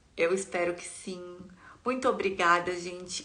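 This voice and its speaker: The voice has vocal fry and moves at a fairly slow pace. Audible room echo surrounds it. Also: woman. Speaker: content creator sharing life with quadriplegia. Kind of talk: live stream chat with viewers. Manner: warm, chatty.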